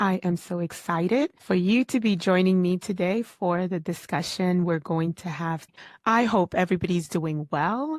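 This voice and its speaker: A woman's normal speaking voice at medium pitch and moderate pace, with ordinary pitch variation, in a very clean recording over a silent background. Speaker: podcast host. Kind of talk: solo podcast talk on personal development. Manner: conversational, earnest, motivational.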